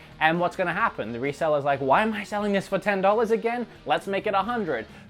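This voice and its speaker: Over music in the background, the voice has an animated tone. The pace is very fast. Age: late 20s. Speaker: video game collecting YouTuber. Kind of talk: casual opinion monologue.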